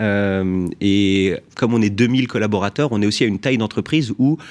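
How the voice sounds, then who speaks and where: Recorded very cleanly against a silent background, a man with an unremarkable speaking voice talks at a fairly low pitch with ordinary pitch variation. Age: 30s. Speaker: company executive. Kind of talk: radio interview.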